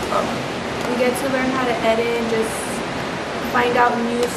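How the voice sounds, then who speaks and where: A woman's moderately paced speech competes with loud noise in the background. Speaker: beauty vlogger. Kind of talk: makeup tutorial vlog. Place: home room. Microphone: camera far.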